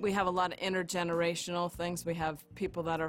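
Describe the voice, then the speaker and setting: A woman talks at a moderate pace with an American accent. Music plays in the background. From northwestern Pennsylvania, US. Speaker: community storyteller, church member. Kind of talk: personal testimony for local documentary.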